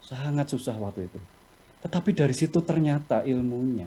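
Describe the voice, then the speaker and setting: At a moderate pace, a man talks in a fairly high pitch. His tone is dark and mellow and somewhat breathy. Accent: Javanese. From Java, Indonesia. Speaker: company executive, webinar speaker. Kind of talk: webinar talk, answering questions. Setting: video call.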